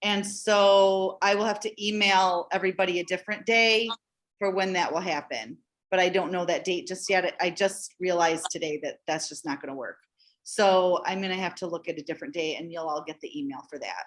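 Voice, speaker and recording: In a very clean recording with a silent background, a woman with an ordinary speaking voice and medium pitch talks at a fairly quick pace with ordinary pitch variation. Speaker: church children's ministry organizer. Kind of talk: informational meeting.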